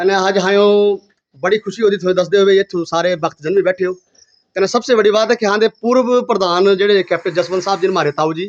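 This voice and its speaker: A man speaks at a high pitch with ordinary pitch variation. The sound is dry and close, with no echo. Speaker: folk singer and video host. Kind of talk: casual interview. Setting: outdoors at village temple with devotees.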